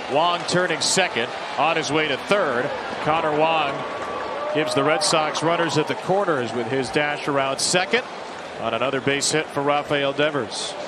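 The speech moves at a moderate pace. Loud background noise is present. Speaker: baseball play-by-play announcer. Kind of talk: live sports play-by-play commentary. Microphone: headset.

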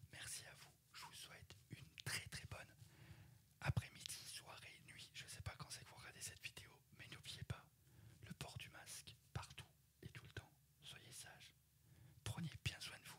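Whispering at a fairly slow pace, a man leaves long, frequent pauses, and his loudness swings widely. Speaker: ASMR YouTuber. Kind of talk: casual vlog chat. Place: home room. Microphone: studio mic.

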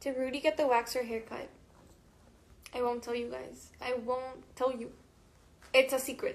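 A woman talks in a high pitch with monotone, flat intonation. The pace is very slow, with long, frequent pauses. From Mexico. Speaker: musician. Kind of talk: casual livestream chat with fans. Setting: Instagram live stream. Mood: cheerful, playful. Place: home room. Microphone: phone near.

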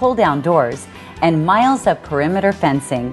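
Over music in the background, a woman speaks at a moderate pace, her fairly low voice swinging very widely in pitch. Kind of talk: real estate promotional narration.

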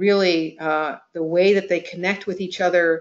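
A woman talks at a fairly slow pace in a normal speaking voice, her pitch fairly low. Her intonation stays fairly even over a quiet background. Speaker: webinar presenter. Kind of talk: presentation talk. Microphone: video call.

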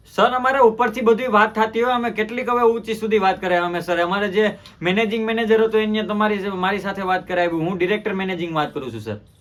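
A man speaks at a high pitch with fairly even intonation. Noticeable background noise runs underneath. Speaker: prank call youtuber. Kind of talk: prank phone call. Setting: phone call. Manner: formal.

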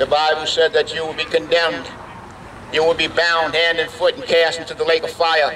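A man speaks loudly at a high pitch and a moderate pace. His intonation stays flat and monotone over light background noise. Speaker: evangelist, street preacher. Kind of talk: fire-and-brimstone street sermon. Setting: outdoors, at a biker bar. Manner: loud, fervent, emphatic. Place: street. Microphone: headset.

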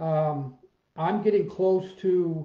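The voice has ordinary pitch variation. There is audible room echo over a quiet background. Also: man. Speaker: fitness coach. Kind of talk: casual vlog chat. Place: home room. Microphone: webcam.

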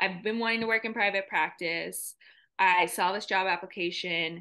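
An ordinary speaking voice with an American accent. Its intonation is fairly even, and the background is quiet. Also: woman. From South Carolina. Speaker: mental health counselor; guest. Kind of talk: interview. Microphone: video call.

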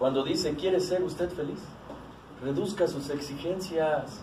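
Light background noise and audible room echo surround a man talking at a fairly slow pace. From Mexico. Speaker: recovering alcoholic sharing at AA meeting. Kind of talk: testimony. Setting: support group meeting room. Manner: animated. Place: meeting room. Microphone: camera far.

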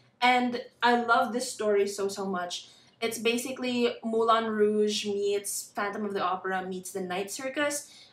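A woman at a fairly slow pace, hardly any pauses, in a room with audible echo. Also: fairly high pitch for a woman, fairly even intonation. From Philippines. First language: Tagalog. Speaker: booktuber. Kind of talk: casual vlog. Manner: pauses to find words. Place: home room. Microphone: phone near.

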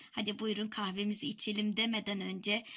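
Fairly slow in pace, a woman speaks with a bright, sharp tone. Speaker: home vlogger. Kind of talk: casual vlog chat. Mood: delighted, marveling at snow. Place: home room. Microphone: phone near.

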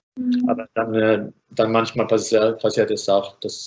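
A man talks with a Finnish accent. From Finland. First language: Finnish (speaking German). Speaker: architect and filmmaker; architect lecturer. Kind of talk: online lecture; lecture. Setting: video call. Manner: halting. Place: home room. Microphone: video call.

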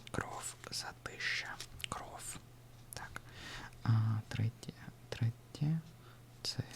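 A man whispering at a very slow pace, with long, frequent pauses, over noticeable background noise. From Russia. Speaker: ASMR creator learning Ukrainian. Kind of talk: ASMR language study session. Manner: whispered, soft-spoken.

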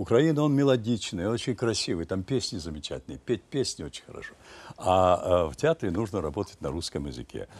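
Fairly low male voice with vocal fry, very wide pitch swings, big swings in loudness and a fairly quick pace. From Ukraine, village near Kyiv. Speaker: stage actor. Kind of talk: interview. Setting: studio. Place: studio. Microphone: lapel.

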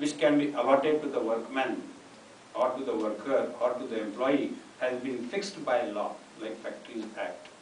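A man talks at a moderate pace. Room echo is audible, along with light background noise. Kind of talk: lecture. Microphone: podium.

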